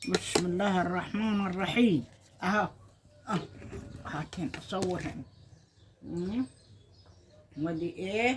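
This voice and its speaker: A woman with an Egyptian accent and medium pitch speaks at a very slow pace, with lively intonation and long, frequent pauses, amid noticeable background noise. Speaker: home cooking vlogger. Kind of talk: casual cooking video.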